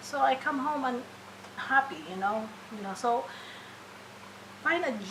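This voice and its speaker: A woman speaks with a Filipino accent and lively intonation. Audible room echo and noticeable background noise fill the recording. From Philippines. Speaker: registered nurse. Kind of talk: interview. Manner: halting, many fillers and restarts.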